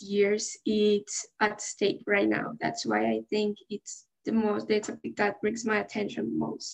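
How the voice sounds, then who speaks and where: Somewhat breathy, the speaker talks at a fairly slow pace in a Spanish accent. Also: woman. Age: 18. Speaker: student committee chair. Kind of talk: casual interview.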